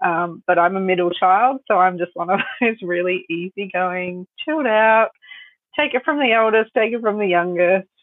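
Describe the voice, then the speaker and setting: In an Australian accent, a woman speaks at a moderate pace with a medium pitch and ordinary pitch variation. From Australia, Sunshine Coast (Queensland). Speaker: photographer and business owner. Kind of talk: interview.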